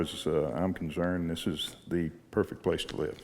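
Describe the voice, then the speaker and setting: A man with a Texan accent talks at a fairly slow pace. His pitch is very deep and low, with ordinary variation. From Galveston, Texas. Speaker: rancher. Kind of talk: radio interview. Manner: halting.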